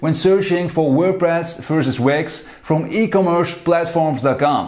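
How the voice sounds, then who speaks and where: Speech moves at a moderate pace with ordinary pitch variation. Noticeable background noise and audible room echo are present. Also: man. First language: not English. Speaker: blogger and online business owner. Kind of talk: video commentary. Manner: animated.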